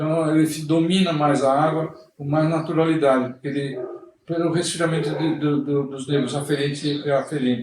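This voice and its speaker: Noticeable background noise and audible room echo surround a man whose fairly high pitch stays in a monotone, flat intonation. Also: moderate pace. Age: 60s. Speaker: swimming instructor. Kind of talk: interview. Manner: halting.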